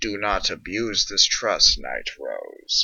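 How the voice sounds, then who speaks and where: A man uses a put-on character voice pitched extremely high. He speaks at a very slow pace. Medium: read story. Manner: cold, formal.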